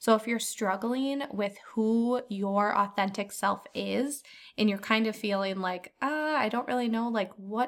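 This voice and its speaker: A woman with a plain, everyday voice speaks at a moderate pace in a medium pitch. The recording is very clean, with a silent background. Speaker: podcast host. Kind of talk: casual chat.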